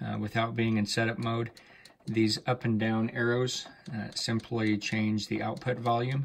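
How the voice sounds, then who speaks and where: A man's flat, monotone delivery moves along at a moderate speed. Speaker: audio dealer reviewing gear. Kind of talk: tutorial. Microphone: phone near.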